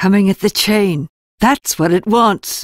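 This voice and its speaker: A raspy, put-on character voice with ordinary pitch variation. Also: woman. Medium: audio drama. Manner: terse, clipped.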